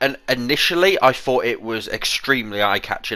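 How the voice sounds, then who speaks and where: Lively in intonation, a man with a British accent speaks fairly slowly in a bright, sharp tone. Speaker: gaming YouTuber. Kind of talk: casual commentary.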